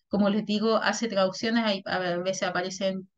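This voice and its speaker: A woman speaks at a medium pitch in an ordinary speaking voice. Her intonation is fairly even and her pace moderate. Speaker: workshop facilitator, intellectual property consultant. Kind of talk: workshop presentation.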